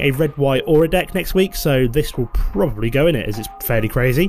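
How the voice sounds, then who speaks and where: Speech at a very fast pace with ordinary pitch variation, music in the background. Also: man. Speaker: gaming YouTuber. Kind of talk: gameplay commentary.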